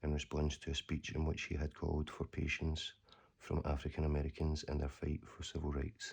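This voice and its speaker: A soft-spoken, somewhat breathy man with a very deep, low pitch, monotone, flat intonation and a fairly quick pace. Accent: Scottish. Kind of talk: ASMR letter reading.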